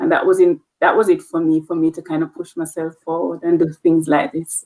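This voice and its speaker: A woman with a Jamaican accent speaks at a fairly quick pace. The sound is dry and close, with no echo. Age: 40s. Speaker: nurse leader. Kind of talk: interview.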